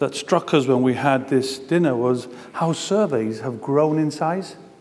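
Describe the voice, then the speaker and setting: Over noticeable background noise and audible room echo, a man with a Gibraltarian accent talks at a medium pitch. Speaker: talent management consultant. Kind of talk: conference presentation.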